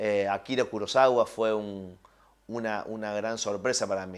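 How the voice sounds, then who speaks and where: Very clean recording, silent background, of a man with a fairly low pitch. He speaks at a fairly slow pace with fairly even intonation. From Argentina, Villa María (Córdoba). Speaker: film and TV director. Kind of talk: interview. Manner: hesitant, many fillers and repetitions.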